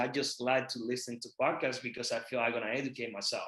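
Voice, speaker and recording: A man with a Puerto Rican accent, at a fairly quick pace. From Puerto Rico. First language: Spanish. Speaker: real estate investor. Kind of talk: podcast interview.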